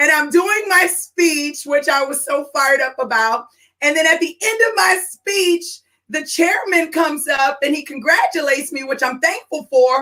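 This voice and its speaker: A woman with an animated, bright and sharp tone speaks at a moderate pace in a high pitch, her voice raised and projected. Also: ordinary pitch variation. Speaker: business and career strategist, podcast host. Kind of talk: live stream talk. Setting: live stream broadcast. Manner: loud.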